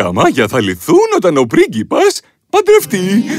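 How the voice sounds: A put-on character voice with very wide pitch swings over faint music in the background. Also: man, high pitch for a man.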